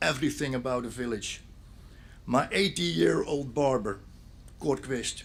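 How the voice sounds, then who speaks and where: A man's fairly high voice with a Dutch accent and ordinary pitch variation. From Netherlands, Zeeland (Sint Annaland). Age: 60s. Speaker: police officer and local speaker at memorial. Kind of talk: memorial speech.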